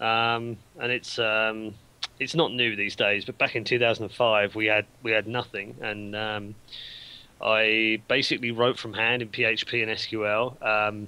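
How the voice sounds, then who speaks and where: A man with a British accent speaks at a very slow pace in a monotone, flat intonation. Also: fairly low pitch for a man. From UK. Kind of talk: casual chat. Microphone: video call.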